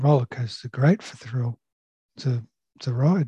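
Speaking with an Australian accent, a man uses a somewhat breathy voice of medium pitch with ordinary pitch variation, in a dry, close sound with no echo. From Sydney, Australia (Sutherland Shire). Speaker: surveyor and software sales manager. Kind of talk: casual interview. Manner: halting, many fillers.

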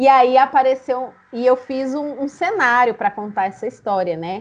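A woman speaks at a fairly slow pace in an ordinary speaking voice, her intonation lively. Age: 30s. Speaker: storyteller and storytelling teacher. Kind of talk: interview.

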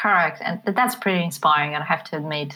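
With a Polish accent, a woman speaks in a bright, sharp tone and fairly even intonation on a very clean recording with a silent background. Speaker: business forum president. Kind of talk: casual chat.

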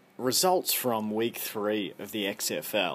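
With an Australian accent, a man speaks at a medium pitch and a very slow pace. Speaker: podcast host. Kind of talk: solo podcast monologue. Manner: informal, chatty.

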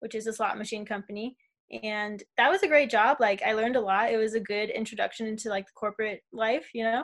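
Speaking at a fairly quick pace with an American accent, a woman has an unremarkable speaking voice and a fairly high pitch. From US West, Las Vegas. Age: 20s. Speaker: traveler. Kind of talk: casual chat.

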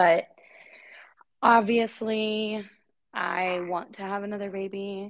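A woman with an American accent speaks at a medium pitch in a monotone, flat way. Her pace is very slow, with long, frequent pauses. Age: 30s. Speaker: podcast co-host, mom. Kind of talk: casual chat.

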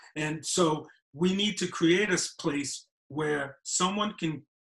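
This is a man speaking. He has a New York accent. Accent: New York (Bronx). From New York City. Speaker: filmmaker. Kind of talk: casual chat.

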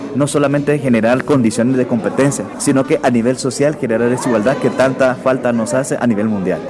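Very fast speech from a man in a medium pitch with ordinary pitch variation, amid audible room echo and noticeable background noise. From Guatemala. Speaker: Paralympic athlete. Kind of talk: radio interview.

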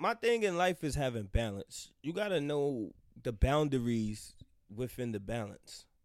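In an animated tone, a man speaks at a fairly slow pace and fairly high pitch with very wide pitch swings. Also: very clean recording, silent background. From US Northeast, Harlem, New York City. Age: 30s. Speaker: podcast guest. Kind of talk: casual chat.

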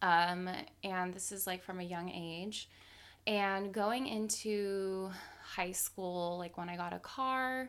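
A woman at medium pitch speaks at a very slow pace with fairly even intonation. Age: 20s. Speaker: style and lifestyle blogger. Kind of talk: casual interview.

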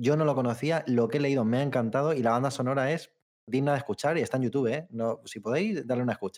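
A man at a very fast pace, medium pitch and ordinary pitch variation. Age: 30s. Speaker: video game podcast co-host. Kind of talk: casual chat.

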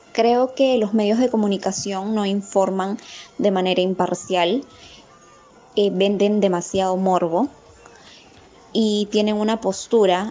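Noticeable background noise sits behind a woman's voice at a medium pitch. She talks at a very slow pace. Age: 20s. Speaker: psychologist. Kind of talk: interview answers.

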